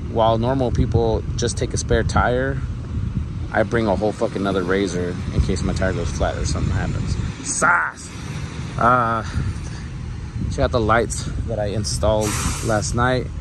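At a moderate pace with long, frequent pauses, the speech has a dry sound with no echo and noticeable background noise. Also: man. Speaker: vlogger on a road trip. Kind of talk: casual vlog chat. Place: street. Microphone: phone near.

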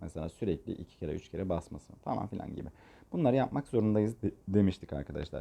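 This man's voice is an unremarkable speaking voice, fairly low in pitch with ordinary pitch variation. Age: 30s. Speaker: gaming tutorial creator. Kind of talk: tutorial. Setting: voice-over recorded separately from screen capture. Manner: casual, filler-heavy.

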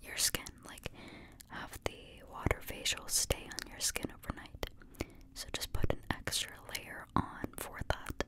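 A soft-spoken woman talks at a very slow pace. Loud background noise is present. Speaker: ASMR creator. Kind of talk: soft-spoken ASMR role play. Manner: soft, hushed close-mic ASMR voice. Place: home room. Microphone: studio mic.

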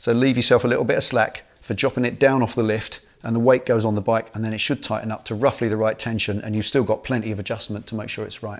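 A man speaking at a very fast pace with fairly even intonation, over a quiet background. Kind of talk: tutorial. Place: garage.

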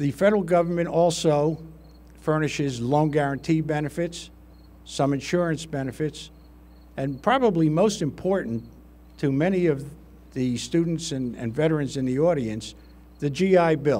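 Fairly high for a man, his voice has a dark, mellow tone and ordinary pitch variation. He keeps a moderate pace, broken by long, frequent pauses. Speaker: state veterans affairs official, guest speaker. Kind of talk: formal speech. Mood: formal, grateful. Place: street. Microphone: podium.

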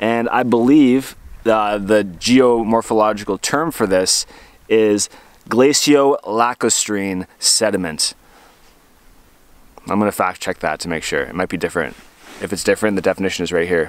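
A man with a fairly low pitch speaks at a moderate pace with ordinary pitch variation. Long, frequent pauses break up his speech, and the sound is dry with no echo. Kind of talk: casual vlog chat. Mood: cheerful, upbeat. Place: boat. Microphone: phone near.

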